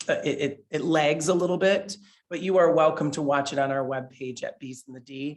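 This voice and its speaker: A loud man talks at a fairly high pitch with ordinary pitch variation. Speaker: beekeeper, nonprofit co-founder giving a talk. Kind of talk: public presentation. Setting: library talk with live audience and online viewers.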